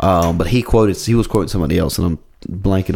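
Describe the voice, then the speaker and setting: Here a man talks at a very fast pace. His pitch is very deep and low. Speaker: comedian and podcast co-host. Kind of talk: casual chat.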